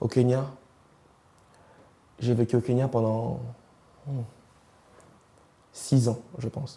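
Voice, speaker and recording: Male voice at medium pitch, dark and mellow, somewhat breathy, with monotone, flat intonation. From East and Central Africa. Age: 20s. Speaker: interviewee sharing life story. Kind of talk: interview testimony. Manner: hesitant, with many fillers.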